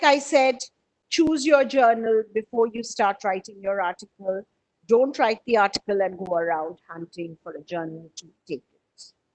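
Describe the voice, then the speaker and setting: With a normal speaking voice, a woman talks at fairly high pitch and a moderate pace, her intonation lively and her loudness swinging widely, in a dry, close sound with no echo. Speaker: publishing trainer presenting a webinar. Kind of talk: webinar presentation. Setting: online webinar. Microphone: audio breaking up on connection.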